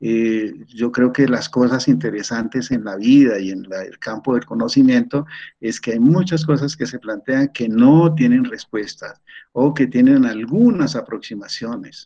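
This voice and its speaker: Delivered at a fairly slow pace, the voice has a dark, mellow tone, ordinary pitch variation and big swings in loudness. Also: man, medium pitch for a man. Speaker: retired professor, systems engineer. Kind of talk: online seminar lecture. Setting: video call. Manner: halting, with repetitions.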